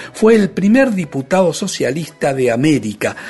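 A man's pitch swings very widely as he talks at a moderate speed over noticeable background noise. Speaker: radio host and guitarist. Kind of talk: radio show presenting.

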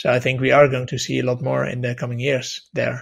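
A somewhat breathy male voice at medium pitch. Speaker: podcast host and editor. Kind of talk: panel discussion moderating.

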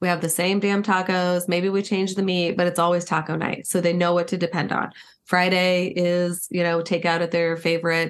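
A woman talks at a moderate pace with fairly low pitch and flat, monotone intonation. The background is quiet. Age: 50s. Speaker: marriage and relationship expert. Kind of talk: interview conversation.

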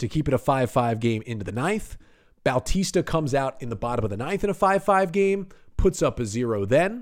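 An animated man with a fairly high pitch and very wide pitch swings. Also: fairly quick pace. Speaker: sports podcast host. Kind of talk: sports podcast recap. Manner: animated, fast play-by-play retelling.

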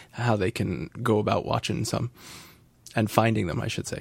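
A man talks at a medium pitch, his voice carrying vocal fry. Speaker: podcast host. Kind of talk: casual chat.

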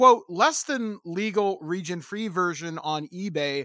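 Speaking very slowly in a raised, projected voice, a man with a Canadian accent has a high pitch, a bright, sharp tone and lively intonation, all in a dry, close sound with no echo. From Ontario, Canada. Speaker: podcast host. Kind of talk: interview conversation.

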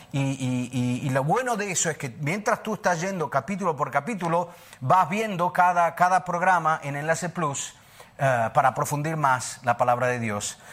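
Lively in intonation, a man speaks at a moderate pace with a fairly high pitch. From Argentina, Buenos Aires. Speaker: preacher. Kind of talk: sermon. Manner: halting.

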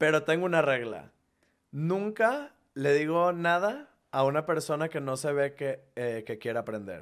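A man with an unremarkable speaking voice talks at a fairly slow pace, his fairly high pitch carrying lively intonation. The recording is very clean, with a silent background. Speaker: content creator who moved to a new city. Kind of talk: casual chat.

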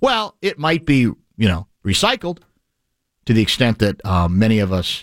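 Heard on a very clean, dry, close recording with no echo and a silent background, a man with a plain, everyday voice speaks at a moderate pace and fairly low pitch. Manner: fluent, expansive and wordy, with dry, playful humor.

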